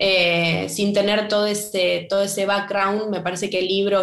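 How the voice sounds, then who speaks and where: Her intonation stays monotone and flat. The woman speaks at a moderate pace. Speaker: writer and playwright. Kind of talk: interview conversation. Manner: halting, many repetitions.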